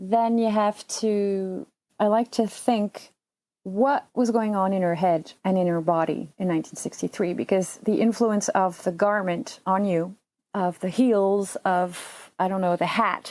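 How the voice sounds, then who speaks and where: With a French accent, a woman speaks at a fairly slow pace and with fairly even intonation. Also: medium pitch for a woman, very clean recording, silent background. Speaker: surgical assistant and translator. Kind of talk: casual chat. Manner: halting.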